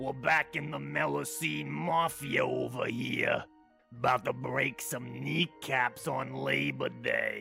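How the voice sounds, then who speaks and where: Faint music plays in the background behind a raspy, put-on character voice. The delivery is fairly slow. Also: man, very deep, low pitch for a man. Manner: gruff.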